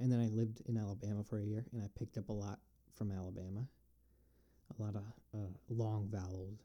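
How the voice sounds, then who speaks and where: Speaking very fast but with long, frequent pauses, a man with an upstate New York accent uses a fairly low pitch, a dark, mellow tone and flat, monotone intonation. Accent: upstate New York American. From US Northeast, Binghamton, New York. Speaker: podcast host. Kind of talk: solo Q&A monologue. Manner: halting, many fillers.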